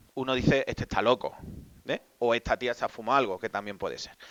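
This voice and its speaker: This speaker's intonation stays fairly even, in an Extremaduran accent. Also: man. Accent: Extremaduran Spanish, noticeable. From Spain, Extremadura (Badajoz). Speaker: Jesuit priest and psychologist. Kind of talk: talk to a live audience.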